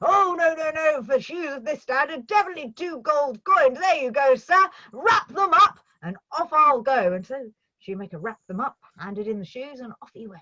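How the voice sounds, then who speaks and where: A woman speaks in a raised, projected voice at a high pitch, her pitch swinging very widely and her loudness rising and falling sharply at a moderate pace. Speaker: storyteller. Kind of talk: storytelling performance. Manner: expressive, lively with character voices.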